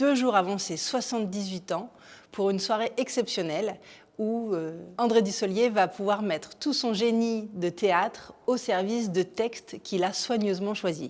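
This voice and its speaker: A woman has an unremarkable speaking voice of medium pitch with ordinary pitch variation. Her pace is fairly slow. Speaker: theatre programme presenter. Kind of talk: theatre show presentation to camera.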